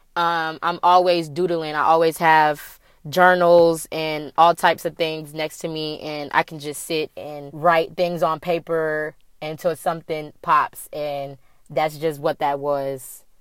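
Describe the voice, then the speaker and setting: In a very clean recording with a silent background, a woman speaks at a very deep, low pitch and fairly slow pace, with monotone, flat intonation and big swings in loudness. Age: 20s. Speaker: podcast host. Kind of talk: casual monologue.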